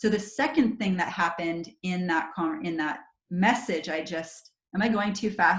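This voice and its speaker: Keeping a moderate pace, a woman speaks at a fairly low pitch with ordinary pitch variation. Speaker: network marketing trainer. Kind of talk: online training call. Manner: animated.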